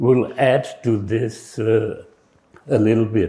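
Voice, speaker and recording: A man with a medium pitch talks at a very slow pace in a dark, mellow tone. His voice is somewhat breathy, with fairly even intonation. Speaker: retired professor. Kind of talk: conference keynote. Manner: halting, many fillers.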